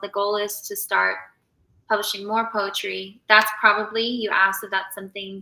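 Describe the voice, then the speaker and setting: A woman at medium pitch with an American accent. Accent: slight Southern, kept professional. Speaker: author. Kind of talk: casual interview chat. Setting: live stream.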